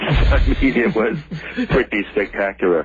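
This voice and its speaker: A man with an American accent at a fairly slow pace, music in the background. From Maine, US (New England). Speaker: author and mythology teacher. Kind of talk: interview conversation. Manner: hesitant, with fillers and repetitions.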